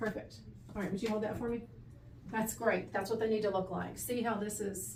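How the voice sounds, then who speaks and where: A woman speaks at a fairly high pitch with fairly even intonation. Audible room echo surrounds her voice. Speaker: audiologist fitting hearing aids. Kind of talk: instructional explanation to a patient.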